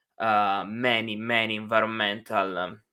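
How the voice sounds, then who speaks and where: In an Italian accent, a man speaks at a fairly slow pace in a fairly low pitch, bright and sharp in tone and monotone, flat in intonation, on a very clean recording with a silent background. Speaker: university instructor. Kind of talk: lecture. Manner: hesitant, many fillers.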